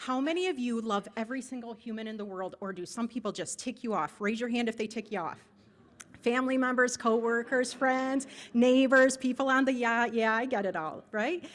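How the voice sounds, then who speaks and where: A woman with an American accent speaks at a fairly quick pace in a high voice, her pitch varying in an ordinary way. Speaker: nonprofit agency director. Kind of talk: club presentation. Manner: fast.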